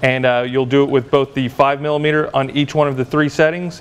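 Speaking at a moderate pace, a man keeps a fairly even intonation. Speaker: lab instructor. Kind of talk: tutorial. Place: workshop.

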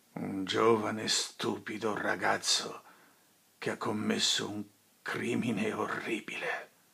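A man puts on a raspy character voice at a fairly low pitch. He speaks at a fairly slow pace. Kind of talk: dramatic film monologue.

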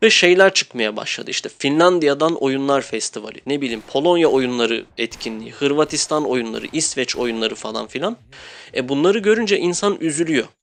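A man with a normal speaking voice, fairly high in pitch, with lively intonation at a moderate pace. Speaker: gaming youtuber. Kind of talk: game review monologue. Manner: casual.

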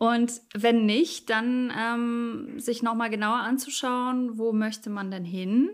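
A woman speaks at a very slow pace. Her pitch sits fairly high, with ordinary variation. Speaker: musician and TV presenter. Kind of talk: casual interview. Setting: remote call from home studio.

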